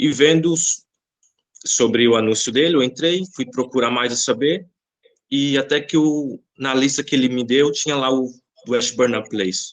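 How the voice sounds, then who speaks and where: At a fairly slow pace, a man speaks in a normal speaking voice with ordinary pitch variation. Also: medium pitch for a man. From Brazil, Bahia. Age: 20s. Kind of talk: podcast interview.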